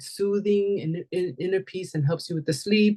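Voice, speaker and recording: Medium-pitched woman's voice at a moderate pace, fairly even intonation, dry, close sound with no echo. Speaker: wellness class leader, essential oils seller. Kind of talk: online class presentation. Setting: video call. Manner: halting, repeats words.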